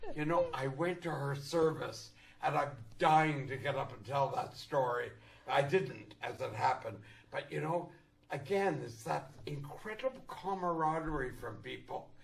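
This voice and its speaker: The speaker has a Canadian accent, a moderate pace and ordinary pitch variation. The room echo is audible, and background noise is noticeable. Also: man, fairly high pitch for a man. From Canada. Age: 80s+. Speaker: actor. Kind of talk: casual chat. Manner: animated.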